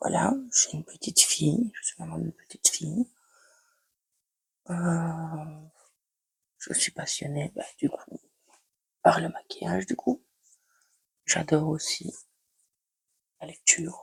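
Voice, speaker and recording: Speaking at a very slow pace with long, frequent pauses and big swings in loudness, a woman's voice comes through with a dry, close sound and no echo. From Belgium, Liège. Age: 20s. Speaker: beauty vlogger. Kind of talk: casual makeup tutorial chat. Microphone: new microphone, first use.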